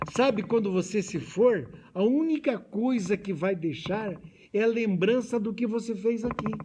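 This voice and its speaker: A man speaks at a fairly slow pace in a high voice with ordinary pitch variation, over noticeable background noise. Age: 70s. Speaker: spiritist lecturer. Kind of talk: lecture. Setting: hall with audience, also streamed.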